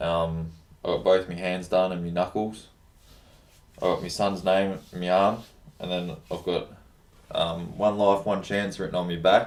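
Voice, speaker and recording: A man's very deep, flat monotone with an Australian accent, fairly slow and broken by long, frequent pauses. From Australia, Melbourne area. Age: 20s. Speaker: plumber. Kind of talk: interview. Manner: casual, halting with fillers.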